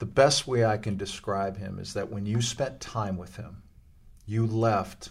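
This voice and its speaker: Somewhat breathy speech in an American accent moves at a moderate pace with fairly even intonation. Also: man. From US West Coast, Los Angeles. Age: 60s. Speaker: former pro basketball player and youth club leader. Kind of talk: interview conversation.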